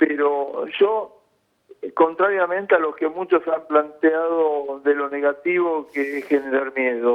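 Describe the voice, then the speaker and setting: Very slow in pace, the speech keeps a fairly even intonation. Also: man, fairly high pitch for a man. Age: 60s. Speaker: intensive care physician. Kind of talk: news interview.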